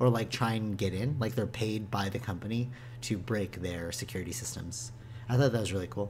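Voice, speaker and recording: The voice is somewhat breathy, with audible room echo. It moves at a fairly quick pace with fairly even intonation. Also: man, fairly low pitch for a man. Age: 20s. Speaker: gaming podcast co-host. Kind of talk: casual chat.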